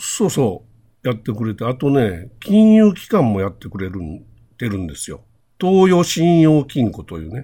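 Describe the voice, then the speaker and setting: Big swings in loudness and very wide pitch swings run through a dark, mellow tone. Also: man, medium pitch for a man, moderate pace. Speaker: podcast co-host. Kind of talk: casual chat.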